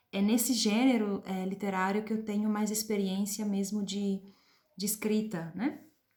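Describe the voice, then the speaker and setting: In an Italian accent, a woman talks fairly slowly at a fairly high pitch. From Switzerland (Italian-speaking). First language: Italian (speaking Portuguese). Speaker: literature professor and translator. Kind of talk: personal presentation to camera. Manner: hesitant, many filler sounds.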